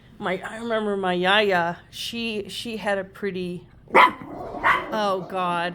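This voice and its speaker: A woman's voice, medium in pitch and varying in an ordinary way, is set against noticeable background noise. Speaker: dog owner vlogger. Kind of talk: casual vlog monologue. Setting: outdoors walking dogs, then indoors. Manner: rambling, halting with fillers.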